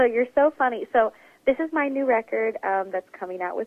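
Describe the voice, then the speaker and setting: A woman with an American accent speaks in a plain, everyday voice with lively intonation. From Oklahoma. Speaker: jazz pianist and vocalist. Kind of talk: interview.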